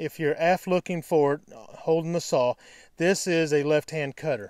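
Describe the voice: With a slightly mellow tone and a fairly high pitch, a man speaks fairly slowly with ordinary pitch variation.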